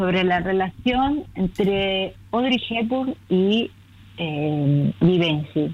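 A woman speaks with lively intonation at a medium pitch. Her voice is somewhat breathy. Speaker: children's book author. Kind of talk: casual interview.

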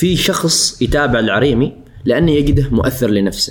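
Pitched at a medium level, a man talks with ordinary pitch variation. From Oman, Al Suwaiq. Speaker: social media influencer. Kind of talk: casual interview. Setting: studio. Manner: forceful pronunciation of some words.

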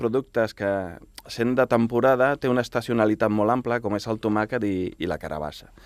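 Fairly even in intonation, a man speaks at medium pitch. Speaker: chef and restaurant owner. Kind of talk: radio interview. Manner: hesitant, repeats words.

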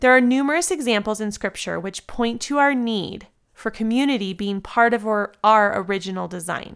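A woman has an ordinary speaking voice with an American accent. Her pitch is fairly high, with ordinary pitch variation. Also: very clean recording, silent background. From US West Coast (San Diego, California). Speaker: yoga teacher and devotional podcaster. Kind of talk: devotional reading. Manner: warm, gentle.

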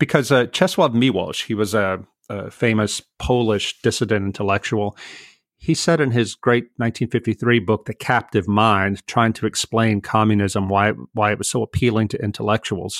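On a very clean recording with a silent background, a man talks in a normal speaking voice at a moderate pace, his fairly low pitch showing ordinary pitch variation. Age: 50s. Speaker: author and writer. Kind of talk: interview.

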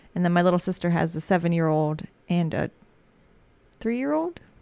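This is a woman's voice. Her pitch is fairly low. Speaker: podcast host. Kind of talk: casual chat. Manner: laughs often, supportive listener.

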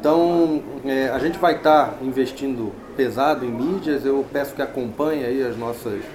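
With fairly even intonation and a medium pitch, a man talks through audible room echo and noticeable background noise. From Rio de Janeiro, Brazil. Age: 40s. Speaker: fintech executive. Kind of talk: interview. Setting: trade fair.

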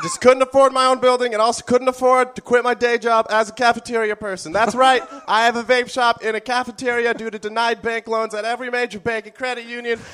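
A man's extremely high voice, very fast with hardly any pauses and big swings in loudness, in a deadpan, nervous tone, dry and close with no echo over noticeable background noise. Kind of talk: parody infomercial ad, comedic sales pitch in character. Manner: fast, hammy used-car-salesman pitchman patter, excitable and over-eager; deadpan absurdity with nervous, rambling asides.

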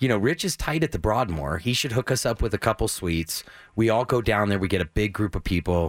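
Fairly quick and lively in intonation, a man with an American accent speaks at a fairly low pitch in a plain, everyday voice, with a dry, close sound and no echo. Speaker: food radio co-host. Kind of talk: casual radio chat.

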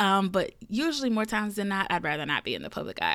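An animated woman speaks with a Southern US accent. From US South. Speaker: podcast host. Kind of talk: casual monologue. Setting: home recording room.

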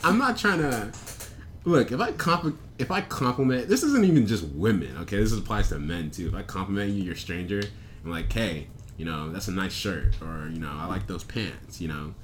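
Audible room echo surrounds a man who talks at a fairly quick pace and fairly low pitch, with very wide pitch swings. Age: 20s. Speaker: podcast co-host. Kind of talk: casual chat.

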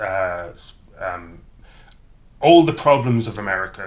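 This man speaks with an Irish accent. His pitch is fairly low, with ordinary variation. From rural Ireland; County Cavan, Ireland. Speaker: university professor. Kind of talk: casual interview chat.

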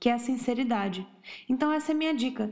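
Lively in intonation, a woman speaks at a very fast pace. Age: 30s. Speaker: podcast host giving relationship advice. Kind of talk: casual advice monologue. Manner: informal, chatty.

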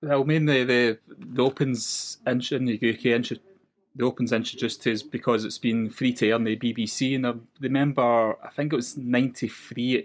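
Speaking with a west coast Scottish accent, the voice keeps a moderate pace and fairly even intonation. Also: man, medium pitch for a man. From west coast of Scotland. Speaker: golf fan guest. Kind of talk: casual chat.

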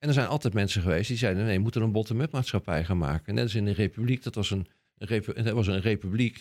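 This man talks very fast with a Rotterdam accent and lively intonation. His pitch is fairly low, and the recording is very clean with a silent background. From Rotterdam, Netherlands. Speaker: scientist. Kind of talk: casual interview.

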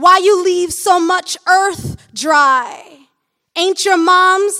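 A woman with an American accent speaks in a raised, projected voice at an extremely high pitch with a bright, sharp tone. Her pace is very slow and her intonation fairly even. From Michigan. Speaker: poet. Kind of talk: poetry reading. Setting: stage with audience.

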